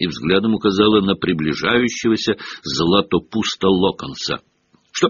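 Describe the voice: The background stays quiet. Over it comes plain reading aloud.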